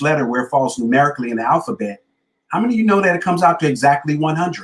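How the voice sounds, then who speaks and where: A man speaks in an animated tone at a fairly high pitch. His voice is somewhat breathy, with ordinary pitch variation. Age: 50s. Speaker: motivational speaker and author. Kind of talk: motivational talk in interview.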